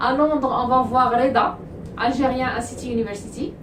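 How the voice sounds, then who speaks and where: Noticeable background noise and audible room echo around a woman's high voice at a moderate speed. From Morocco. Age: 30s. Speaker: study abroad agency owner. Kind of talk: vlog introduction.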